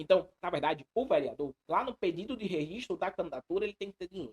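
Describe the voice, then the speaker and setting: With a dry, close sound and no echo, a man speaks in very wide pitch swings. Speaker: law exam prep teacher. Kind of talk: live online lecture. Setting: live stream. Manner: fast; animated.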